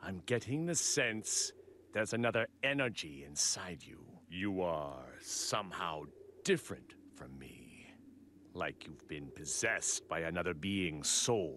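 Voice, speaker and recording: A put-on character voice with a smug tone at a fairly slow pace, over clear background noise. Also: man, very deep, low pitch for a man. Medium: video game. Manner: smug, analytical.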